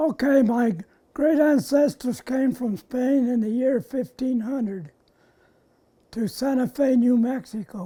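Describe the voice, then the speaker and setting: With an American accent, this man talks in an extremely high pitch with a dark, mellow tone and ordinary pitch variation. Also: fairly slow pace. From southern Colorado and Fort Lupton, Colorado. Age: 90s. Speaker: war veteran. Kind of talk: oral history interview. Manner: halting.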